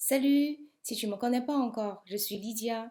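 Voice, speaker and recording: A woman's fairly high voice with a dark, mellow tone and a non-native accent. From outside Europe, immigrated to France at 28. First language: not French (speaking French). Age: 50s. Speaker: business coach. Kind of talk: sales pitch.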